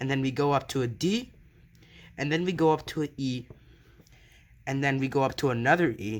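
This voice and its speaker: On a very clean recording with a silent background, a man speaks at a fairly high pitch with ordinary pitch variation. His pace is fairly quick, broken by long, frequent pauses. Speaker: piano teacher. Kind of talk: tutorial.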